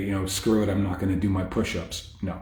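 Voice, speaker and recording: Quiet and somewhat breathy, a man with a dark, mellow tone and fairly low pitch talks at a fairly quick pace amid audible room echo. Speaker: fitness coach. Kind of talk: casual live stream talk. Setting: hotel stairwell, Facebook live. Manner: quiet, talking low; hesitant, many fillers.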